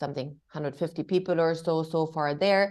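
A woman speaks at a moderate pace with a German accent, her pitch very deep and low. Her tone is dark and mellow against a quiet background. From Germany. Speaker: diversity and inclusion executive. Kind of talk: interview. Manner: hesitant, many fillers.

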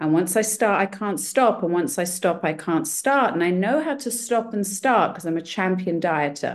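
A woman talks in a plain, everyday voice at medium pitch against a quiet background. Her moderate pace carries lively intonation and hardly any pauses. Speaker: meeting participant. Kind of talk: personal share. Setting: video call.

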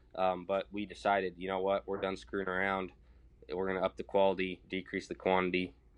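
A man speaks at a very fast pace in a very deep, low voice. His intonation is monotone and flat. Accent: American. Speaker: young farmer and livestock producer. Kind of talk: casual chat. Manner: laid-back, friendly.

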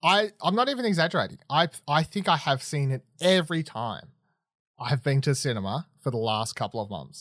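A man with an Australian accent, fairly high pitch, very wide pitch swings and a fairly quick pace, captured dry and close with no echo on a very clean recording with a silent background. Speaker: podcast host. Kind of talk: reading aloud; casual chat. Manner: halting.

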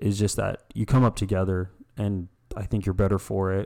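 On a very clean recording with a silent background, a man with an American accent speaks in a fairly low pitch with a dark, mellow tone and monotone, flat intonation. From US, various states. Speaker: small business owner. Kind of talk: casual interview chat. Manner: laid-back.

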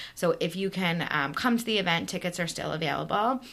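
In an American accent, a woman speaks at a fairly low pitch with vocal fry and lively intonation. Her tone is bright and sharp. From US East Coast, New York area. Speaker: synagogue board vice president. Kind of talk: interview.

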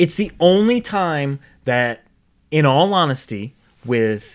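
A man speaks with very wide swings in pitch. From Rhode Island. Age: 30s. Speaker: podcast host. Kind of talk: casual chat.

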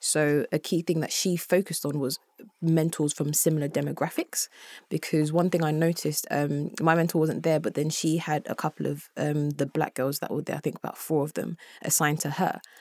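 A woman with a very deep, low pitch, fairly quick delivery and monotone, flat intonation, in a dry, close sound with no echo and a very clean recording with a silent background. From Congo. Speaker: student. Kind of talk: casual chat. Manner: halting.

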